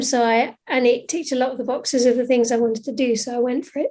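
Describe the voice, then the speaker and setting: A woman's high, dark and mellow voice at a fairly quick pace with fairly even intonation. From Scotland, raised in northern England. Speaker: scientist in science and faith communication. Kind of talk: podcast interview. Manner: hesitant, many fillers.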